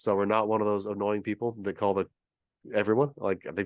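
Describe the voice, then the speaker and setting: With a West Coast accent, a man talks at a fairly quick pace and a fairly low pitch, his sound dry and close with no echo against a quiet background. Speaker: real estate investor. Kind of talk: interview. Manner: fast.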